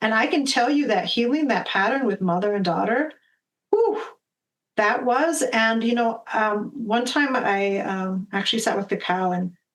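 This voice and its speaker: A woman's normal speaking voice, fairly high in pitch, with ordinary pitch variation, very even loudness and a moderate pace. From US Midwest, Minnesota. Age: 50s. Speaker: medicine woman and spiritual guide. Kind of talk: podcast interview. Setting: video call.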